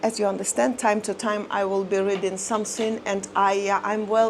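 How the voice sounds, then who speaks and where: A woman with a non-native accent at a medium pitch, moderate pace and monotone, flat intonation. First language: not English. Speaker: lifestyle vlogger. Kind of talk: personal life story monologue to camera. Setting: seated in front of camera. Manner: halting, many fillers.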